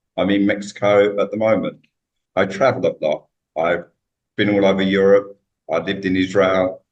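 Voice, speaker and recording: Speaking at a moderate pace with long, frequent pauses, a man with a British accent keeps a monotone, flat intonation at a fairly low pitch. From UK. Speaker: author. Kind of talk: interview.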